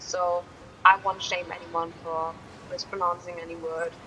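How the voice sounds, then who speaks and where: A woman with a German accent, fairly low in pitch, monotone and flat, at a fairly slow pace amid noticeable background noise. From Germany. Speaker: gaming streamer. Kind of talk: casual gameplay commentary. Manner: halting.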